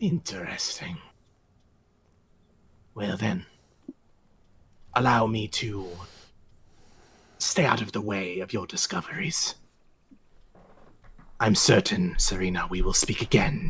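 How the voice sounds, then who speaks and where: A man performs a put-on character voice, raspy and medium-pitched, in a solemn tone. He speaks at a fairly slow pace. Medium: actual play. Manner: cryptic, solemn.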